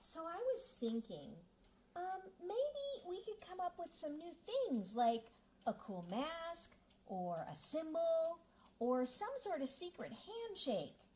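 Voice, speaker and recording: This cartoonish character voice sits at an extremely high pitch with very wide pitch swings. It moves at a fairly slow pace. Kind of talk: children's puppet show.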